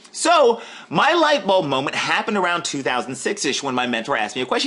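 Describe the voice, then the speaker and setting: Amid noticeable background noise, a man raises and projects his voice in an animated tone with very wide pitch swings. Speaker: online marketer. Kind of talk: webinar sales pitch. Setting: live webinar. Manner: fast.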